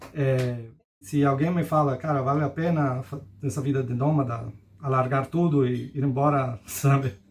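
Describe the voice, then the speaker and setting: This man has a Spanish accent and a fairly high voice. He speaks at a moderate pace with fairly even intonation. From Costa Rica. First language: Spanish (speaking Portuguese). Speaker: digital nomad. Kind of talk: interview. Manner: halting.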